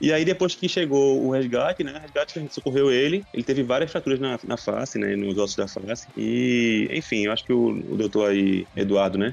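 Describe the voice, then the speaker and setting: Noticeable background noise accompanies a man talking at a fairly quick pace with lively intonation and hardly any pauses. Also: medium pitch for a man. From Pernambuco, Brazil. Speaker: dentist. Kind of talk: casual chat.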